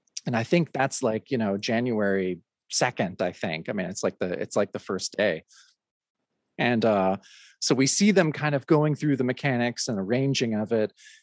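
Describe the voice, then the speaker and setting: A man's medium-pitched, normal speaking voice with an American accent, lively intonation and a moderate pace, dry and close with no echo, over a quiet background. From Oregon. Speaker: podcast host and DJ. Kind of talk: casual interview.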